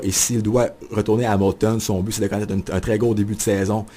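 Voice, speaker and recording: A man speaks here. His voice is fairly low, with a dark, mellow tone. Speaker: sports journalist and radio columnist. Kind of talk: radio studio interview answer about his new hockey column. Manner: enthusiastic, fast-paced.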